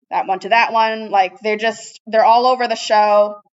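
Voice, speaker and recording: A woman with an ordinary speaking voice talks at a moderate pace, fairly high in pitch and with fairly even intonation. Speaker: teacher. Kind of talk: lecture. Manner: casual.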